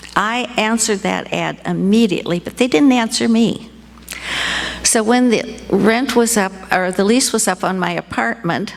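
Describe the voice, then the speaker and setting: A woman with an American accent, fairly high pitch and ordinary pitch variation at a moderate pace, amid noticeable background noise. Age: 80s+. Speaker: storyteller, retired fashion designer. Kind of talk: live storytelling. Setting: stage with audience.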